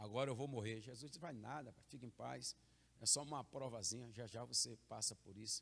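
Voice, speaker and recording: At a fairly quick pace, a man talks in a medium pitch with vocal fry and ordinary pitch variation. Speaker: pastor. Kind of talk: sermon. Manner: emphatic, repetitive preaching.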